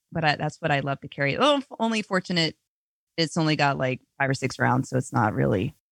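Speaking at a very fast pace with an American accent, the voice comes through on a very clean recording with a silent background. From US, rural. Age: 30s. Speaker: gun content creator. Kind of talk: casual chat.

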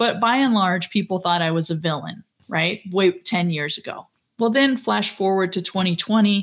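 A woman with a normal speaking voice talks at a moderate pace and medium pitch, with ordinary pitch variation. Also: very clean recording, silent background. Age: 50s. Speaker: former reality show contestant, professor. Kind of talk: casual chat.

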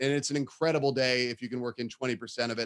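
The voice has an American accent. It moves at a fairly quick pace. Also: man. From San Francisco Bay Area, California. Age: 30s. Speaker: soccer play-by-play broadcaster. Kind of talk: casual interview.

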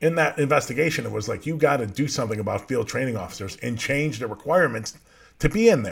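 A very fast, somewhat breathy delivery with an American accent on a very clean recording with a silent background. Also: man, lively intonation. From Chicago area. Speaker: podcast host, justice transparency advocate. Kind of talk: casual commentary show.

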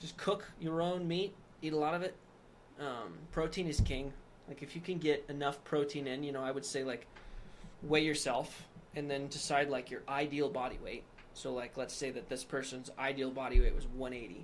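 Audible room echo surrounds a man with an American accent who speaks at a fairly high pitch, with ordinary pitch variation and a moderate pace. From Wyoming, US. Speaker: nutrition store owner. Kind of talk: casual chat.

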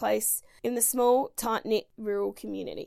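A woman is speaking. She has an Australian accent. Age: 30s. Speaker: podcast host and swim school owner. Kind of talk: reading aloud; casual monologue.

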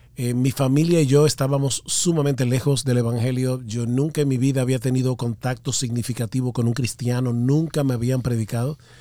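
Fairly even intonation in a man's dark, mellow tone. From Dominican Republic. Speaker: pastor. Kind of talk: interview.

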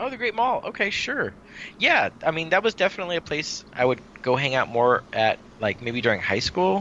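With an American accent, a high-pitched man speaks fairly quickly, his pitch swinging very widely. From Santa Clara Valley, California. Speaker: podcast co-host. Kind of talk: casual chat.

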